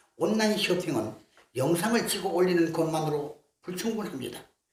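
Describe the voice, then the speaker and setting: Audible room echo surrounds a man speaking at a fairly slow pace with a high pitch and ordinary pitch variation. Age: 80s. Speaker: artist and lecturer. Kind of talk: lecture. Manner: formal.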